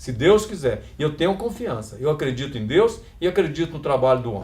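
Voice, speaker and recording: A man's plain, everyday voice, fairly high in pitch, at a moderate pace. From Brazil, Minas Gerais (Passos region). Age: 60s. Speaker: union election candidate, retired teacher. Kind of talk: campaign interview.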